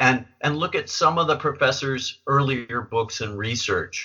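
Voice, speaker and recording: A man talks with a normal speaking voice. The pitch is medium and shifts with ordinary variation. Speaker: podcast host. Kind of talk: interview.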